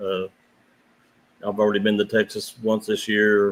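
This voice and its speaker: The speech moves at a fairly quick pace in an American accent with monotone, flat intonation. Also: man. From southern West Virginia, Wayne County. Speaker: professional tournament kayak angler. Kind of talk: podcast interview.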